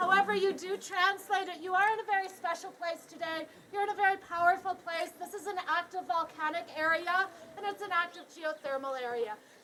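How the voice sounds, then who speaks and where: This woman's voice is extremely high-pitched, bright and sharp, raised and projected. She talks at a fairly quick pace with ordinary pitch variation. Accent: Canadian. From Canada. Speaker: tour guide. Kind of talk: guided tour talk. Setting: outdoors. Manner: loud; animated.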